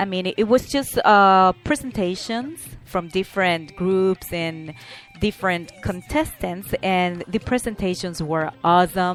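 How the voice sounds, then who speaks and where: With music in the background, a woman speaks at a fairly slow pace in a medium pitch, using ordinary pitch variation. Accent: Spanish. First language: Spanish. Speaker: talk show host. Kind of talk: podcast monologue with announcements. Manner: halting.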